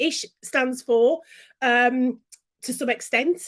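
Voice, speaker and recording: With a Brummie accent, a woman speaks in an animated tone and lively intonation on a very clean recording with a silent background. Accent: Brummie (Birmingham) English. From Birmingham, England. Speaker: business and branding coach. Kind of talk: interview.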